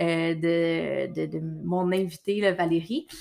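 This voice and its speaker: A woman with a Quebec accent speaks at a very slow pace on a very clean recording with a silent background. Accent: Québécois French. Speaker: podcast host, nutritionist. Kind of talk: solo monologue; casual interview chat.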